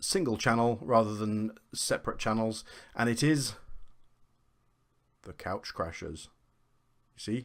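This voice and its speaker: With a British accent and a medium pitch, a man talks at a moderate pace with ordinary pitch variation and long, frequent pauses in a very clean recording with a silent background. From UK. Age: 40s. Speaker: gaming vlogger. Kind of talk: casual vlog intro.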